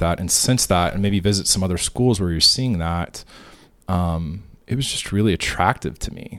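A man speaks with an American accent at a moderate pace. He has an unremarkable speaking voice. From Kansas, Wichita. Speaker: private school headmaster. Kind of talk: interview.

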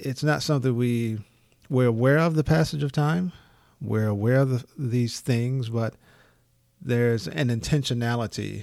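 A man with an American accent talks at medium pitch and a moderate pace. His ordinary pitch variation comes across on a very clean recording with a silent background. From United States. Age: 50s. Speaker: podcast host, life coach. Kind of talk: solo podcast monologue, motivational. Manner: halting, with fillers and restarts.

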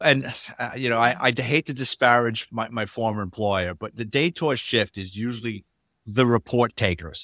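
A man with a New York accent, medium pitch and a bright, sharp tone, at a moderate pace with ordinary pitch variation, in a very clean, dry, close recording with a silent background and no echo. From New York City, the Bronx. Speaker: retired police detective. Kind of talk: interview storytelling.

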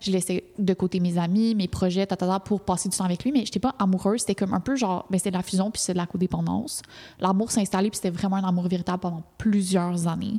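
A woman with a Quebec accent, very fast and somewhat breathy, at medium pitch, with a dark, mellow tone and fairly even intonation. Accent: Québécois French. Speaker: podcast co-host. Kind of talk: casual chat. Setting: studio.

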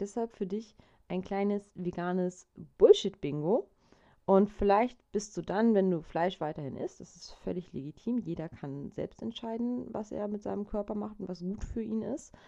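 At a moderate pace and medium pitch, a woman's dark, mellow voice moves through big swings in loudness. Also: ordinary pitch variation. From Germany, Hamburg. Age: 30s. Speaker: podcast host. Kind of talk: solo podcast monologue.

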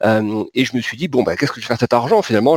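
The speech goes at a very fast pace, with a dry, close sound and no echo. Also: man. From southern France, Pyrenees. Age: 40s. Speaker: market analyst. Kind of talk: interview. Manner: halting, many repetitions and fillers.

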